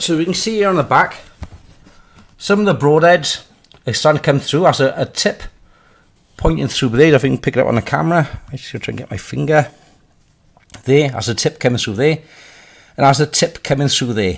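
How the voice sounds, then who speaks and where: Speaking quickly with a Welsh accent, a man uses lively intonation, a fairly high pitch and some vocal fry, broken up by long, frequent pauses. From Wales. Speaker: crossbow maker and reviewer. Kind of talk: casual product test talk to camera.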